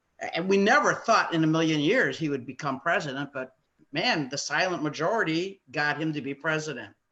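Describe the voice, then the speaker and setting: A woman with an American accent speaks at a fairly low pitch, her tone bright and sharp. The background is quiet. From US Midwest, Chicago area. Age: 70s. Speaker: family member in discussion. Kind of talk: casual discussion. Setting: video call. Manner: halting.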